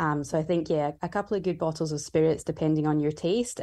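Against a quiet background, a woman with a Scottish accent speaks in a very deep, low pitch with a dark, mellow tone. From Scotland. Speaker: bartender and cocktail book author. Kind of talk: interview.

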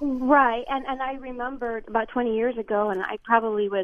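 A woman has an unremarkable speaking voice. She talks at a moderate pace with fairly even intonation. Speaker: radio caller. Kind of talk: phone-in question. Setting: phone call. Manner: articulate, measured.

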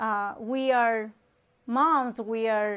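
A woman speaks with a Colombian accent. Her voice sits high. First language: Spanish. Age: 30s. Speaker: online talk show host. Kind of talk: motivational talk.

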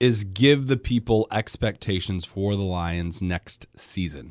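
A man talks in a Midwestern American accent with ordinary pitch variation. The background is quiet. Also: dry, close sound with no echo. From Michigan, Grand Rapids. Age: 30s. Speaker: sports radio host. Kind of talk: casual sports chat.

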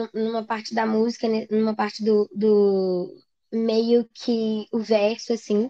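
A woman at a very slow pace, dry and close with no echo. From Minas Gerais, Brazil. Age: 20s. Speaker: singer-songwriter. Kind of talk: interview.

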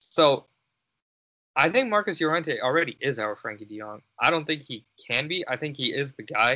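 At a moderate pace, a man speaks in a normal speaking voice, fairly high in pitch, with lively intonation and big swings in loudness. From Canada. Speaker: football podcast host. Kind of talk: casual chat.

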